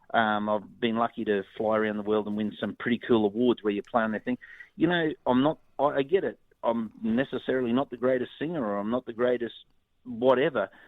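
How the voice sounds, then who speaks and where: Speaking at a fairly quick pace with an Australian accent, a man uses a medium pitch and ordinary pitch variation. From North Queensland, Australia. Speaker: musician. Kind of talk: interview. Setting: phone call.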